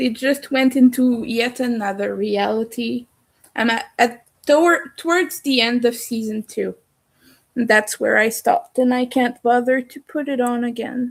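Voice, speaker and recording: A woman with a French accent talks at a fairly slow pace, her high voice showing ordinary pitch variation. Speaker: crochet streamer. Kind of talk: casual live stream chat. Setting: live stream at home in the dark.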